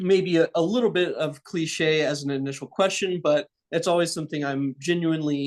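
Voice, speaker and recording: A man with an American accent talks in an unremarkable speaking voice at a moderate pace. His intonation is fairly even, and the background is quiet. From Texas, Dallas area. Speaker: graduate student interviewer. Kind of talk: interview.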